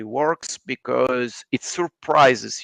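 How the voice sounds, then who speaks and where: A man's medium-pitched voice with an Italian accent and ordinary pitch variation, in a dry, close sound with no echo. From Italy. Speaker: writer. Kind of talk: casual chat.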